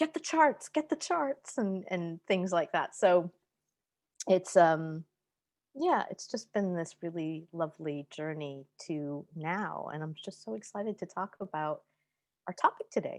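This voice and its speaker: On a very clean recording with a silent background and a dry, close sound with no echo, a woman with an American accent speaks fairly slowly at a fairly low pitch, in an ordinary speaking voice with lively intonation and big swings in loudness. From US East Coast. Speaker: intuitive astrologer. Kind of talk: interview.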